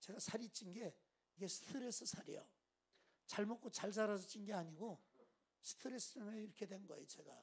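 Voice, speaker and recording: A man talks at a fairly quick pace in a high pitch, with an animated tone. He leaves long, frequent pauses. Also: ordinary pitch variation. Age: 60s. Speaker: pastor. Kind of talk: sermon.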